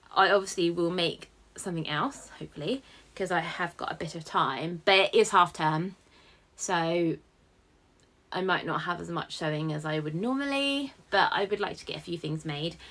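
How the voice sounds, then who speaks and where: A woman's fairly low, bright and sharp voice with a British accent, lively intonation, big swings in loudness and a moderate pace, on a very clean recording with a silent background. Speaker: sewing vlogger. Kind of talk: casual vlog chat.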